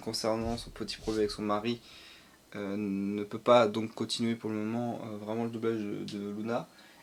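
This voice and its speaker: This man's intonation stays monotone and flat. His pitch sits fairly low. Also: moderate pace. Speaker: streamer. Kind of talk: casual stream chat. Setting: livestream. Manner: halting, many fillers.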